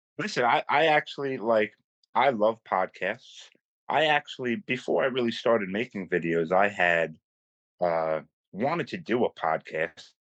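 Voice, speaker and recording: A man with a New York accent speaks at a moderate pace and medium pitch, his pitch swinging very widely. The sound is dry and close with no echo, over a quiet background. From New York City, Staten Island. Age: 30s. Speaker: content creator. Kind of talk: casual chat. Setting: phone call.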